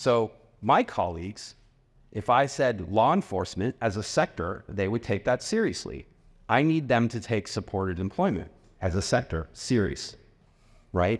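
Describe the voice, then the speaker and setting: In an ordinary speaking voice, a man talks at a moderate pace and fairly low pitch, on a very clean recording with a silent background. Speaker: tech company representative presenting at a conference. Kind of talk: conference presentation. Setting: stage with audience. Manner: casual, with fillers.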